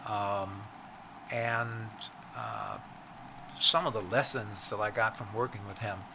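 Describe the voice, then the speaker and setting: With noticeable background noise behind him, a man with an American accent speaks fairly slowly in a fairly low pitch. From Virginia, US South. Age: 80s+. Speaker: entrepreneur and author. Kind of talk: interview conversation. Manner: halting with many fillers.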